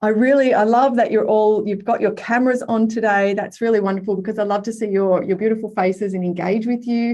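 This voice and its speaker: A woman with a fairly high pitch and a dark, mellow tone speaks at a very fast pace, with fairly even intonation and hardly any pauses. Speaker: workshop facilitator, life coach. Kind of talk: online masterclass workshop. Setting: video call. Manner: high energy.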